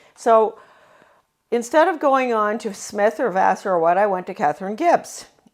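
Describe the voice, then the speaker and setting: With an American accent, a woman talks at a moderate pace. Her pitch makes very wide swings. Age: 80s+. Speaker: former education official, author. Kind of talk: speech recounting life story. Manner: halting, many fillers.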